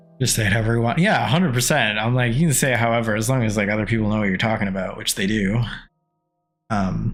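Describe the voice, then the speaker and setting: Someone talks at a very fast pace with ordinary pitch variation, and the room echo is audible. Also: man. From small-town Canada. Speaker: video game streamer. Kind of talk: casual live stream chat while gaming.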